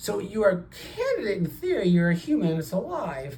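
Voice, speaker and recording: Noticeable background noise sits behind a voice with lively intonation. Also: man. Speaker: cardiologist. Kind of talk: doctor-patient consultation. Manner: fast.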